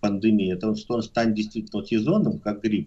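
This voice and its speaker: A man with a plain, everyday voice talks at a fairly quick pace and medium pitch. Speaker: epidemiologist. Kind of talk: radio interview.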